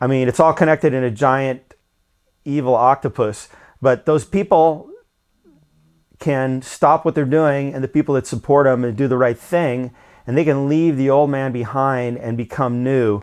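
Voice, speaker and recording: The man's medium-pitched voice carries fairly even intonation, the background quiet behind him. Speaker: whistleblower. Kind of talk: phone call monologue. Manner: fast; halting with many fillers.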